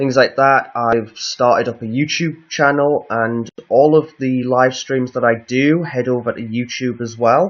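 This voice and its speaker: A man with a northeast English accent talks at a fairly slow pace and medium pitch. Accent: northeast English, lighter than guest's. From northeast England. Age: 20s. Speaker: live streamer. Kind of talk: casual chat. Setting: home live stream.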